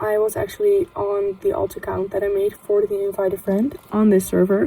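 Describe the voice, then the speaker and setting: A woman talks with fairly even intonation while noticeable background noise runs underneath. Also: medium pitch for a woman, moderate pace. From Netherlands. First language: Dutch. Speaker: gaming youtuber. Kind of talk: casual gameplay commentary. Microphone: phone recording, picks up background noise.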